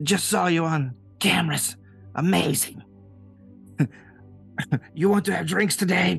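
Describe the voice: A raspy, put-on character voice at middle pitch and moderate pace, with long, frequent pauses and clear music in the background.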